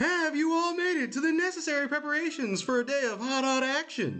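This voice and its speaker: A put-on character voice, high in pitch and fairly quick, with clear music in the background. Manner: hyped, showman-like.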